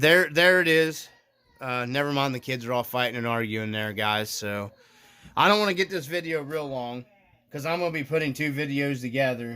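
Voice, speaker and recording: A man's fairly high voice has a bright, sharp tone and ordinary pitch variation, moving at a moderate pace. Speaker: RC hobbyist video maker. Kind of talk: casual tutorial. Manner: halting, many fillers.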